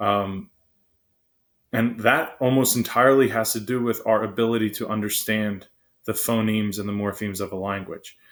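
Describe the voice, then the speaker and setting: A man with a fairly low voice speaks with fairly even intonation. The recording is very clean, with a silent background. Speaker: psychology teacher. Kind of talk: lecture. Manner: fast; many filler words.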